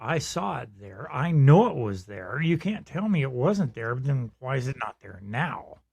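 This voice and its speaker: Somewhat breathy, a man's voice moves through very wide pitch swings on a very clean recording with a silent background. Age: 70s. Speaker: podcast co-host. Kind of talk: casual chat.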